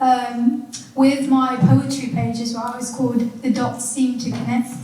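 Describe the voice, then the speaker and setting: In a room with audible echo and noticeable background noise, a woman speaks at a fairly slow pace in a high pitch with monotone, flat intonation. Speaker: poet. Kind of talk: panel discussion. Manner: quiet.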